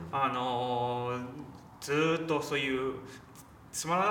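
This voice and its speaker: Noticeable background noise and audible room echo surround a man speaking. His voice sits at a medium pitch with ordinary variation. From China, Shanghai. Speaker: film journalist. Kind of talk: casual film discussion.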